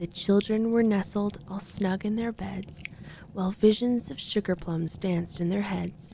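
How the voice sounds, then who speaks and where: Soft-spoken and somewhat breathy, a woman talks at a medium pitch with a dark, mellow tone and fairly even intonation. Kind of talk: sleep story.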